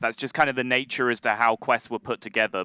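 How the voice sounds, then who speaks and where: A man with an English accent talks at a very fast pace in a bright, sharp tone. The sound is dry and close with no echo, on a very clean recording against a silent background. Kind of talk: live commentary.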